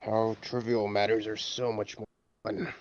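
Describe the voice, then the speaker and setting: A man does a put-on character voice at a medium pitch, moderate in pace and monotone and flat in intonation. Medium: actual play. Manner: dry, sardonic.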